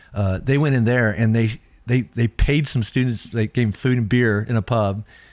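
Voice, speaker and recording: A man talks at a medium pitch, keeping his intonation fairly even. The recording is very clean and the background silent. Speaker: pastor. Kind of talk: casual chat. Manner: fast.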